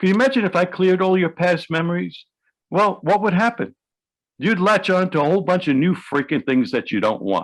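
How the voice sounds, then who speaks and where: Here a man's voice sits high in pitch. He moves along at a fairly quick clip. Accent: New York. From New York City. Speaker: hypnotherapist. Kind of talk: interview. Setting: video call.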